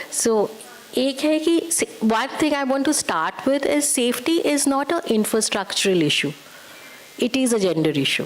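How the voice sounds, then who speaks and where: Over noticeable background noise, a woman with a high pitch keeps very even loudness while her pitch swings very widely. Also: moderate pace. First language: not English or Hindi. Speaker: UN women's rights expert. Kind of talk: panel discussion. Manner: halting, code-switching.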